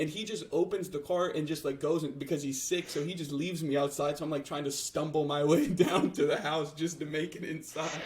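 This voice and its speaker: Speaking with an American accent at a fairly quick pace and hardly any pauses, the voice comes through noticeable background noise. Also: man, fairly high pitch for a man. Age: 20s. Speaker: podcast co-host. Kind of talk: casual chat. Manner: halting.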